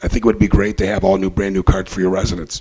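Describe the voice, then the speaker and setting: Noticeable background noise beneath a fairly low-pitched male voice. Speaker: waste company manager. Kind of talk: sales pitch. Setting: city council meeting. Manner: hesitant, many fillers.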